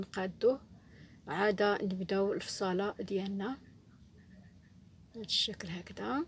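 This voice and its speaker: A woman's somewhat breathy voice at a medium pitch. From Morocco. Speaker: sewing teacher. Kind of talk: tutorial. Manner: halting.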